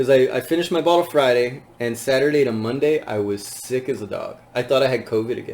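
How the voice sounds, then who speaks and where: Over noticeable background noise, a man speaks at a very fast pace with hardly any pauses. His pitch varies in an ordinary way. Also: medium pitch for a man. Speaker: podcast host. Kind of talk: casual chat.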